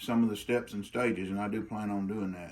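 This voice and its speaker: A man with an Arkansas accent speaks at a fairly slow pace. Audible room echo surrounds his voice. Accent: Arkansas drawl. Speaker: bladesmith. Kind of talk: informal tutorial. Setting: outdoor forge in the country. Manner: casual, halting with repetitions.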